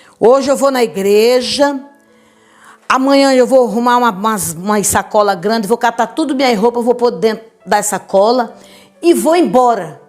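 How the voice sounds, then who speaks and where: Over music in the background, a woman talks at a moderate pace in an animated tone with a fairly high pitch and ordinary pitch variation. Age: 70s. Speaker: church preacher giving testimony. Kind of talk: testimony.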